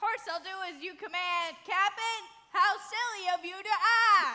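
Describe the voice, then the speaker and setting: At a moderate pace, someone performs a put-on character voice pitched extremely high. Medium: stage play. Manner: dim, folksy.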